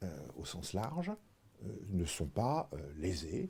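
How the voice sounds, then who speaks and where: A man's somewhat breathy voice, dark and mellow in tone, on a very clean recording with a silent background. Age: 60s. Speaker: retired insurance executive. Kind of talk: interview. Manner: hesitant, frequent fillers.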